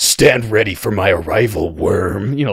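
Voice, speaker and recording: In a put-on character voice, a man talks at a fairly slow pace with a gravelly, raspy sound and a fairly low pitch. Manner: imperious.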